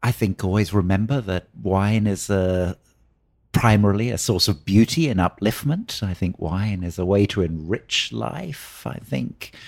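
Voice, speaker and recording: Lively intonation at a fairly slow pace with a British accent, in a very clean recording with a silent background. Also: man, fairly low pitch for a man. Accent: British, clearly audible. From southern England, Oxford. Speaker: wine educator. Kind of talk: interview. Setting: hotel, in person.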